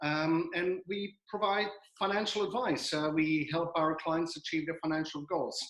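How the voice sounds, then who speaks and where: A man with a Belgian accent talks at a high pitch and a moderate pace, his intonation fairly even and his loudness very even. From Belgium. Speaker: financial adviser. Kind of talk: webinar presentation. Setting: video call. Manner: halting with many fillers.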